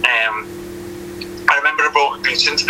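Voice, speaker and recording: Someone with a Liverpool accent talks with ordinary pitch variation over noticeable background noise. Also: man. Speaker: retired professional footballer. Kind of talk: interview.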